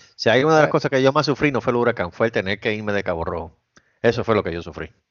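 Talking at a very fast pace, the man uses lively intonation. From Puerto Rico, Caguas. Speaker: podcast co-host. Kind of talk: casual chat. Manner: animated.

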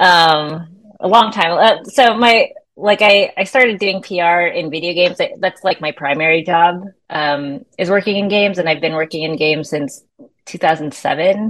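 At a very slow pace, a woman with an American accent speaks in a fairly low pitch with ordinary pitch variation. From US West Coast, San Francisco Bay Area. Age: 30s. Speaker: musician and PR company owner. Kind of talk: casual chat.

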